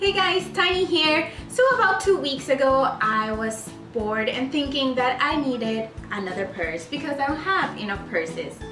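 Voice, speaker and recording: A woman uses a raised, projected voice with clear music in the background. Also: moderate pace. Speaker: DIY vlogger. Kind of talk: tutorial.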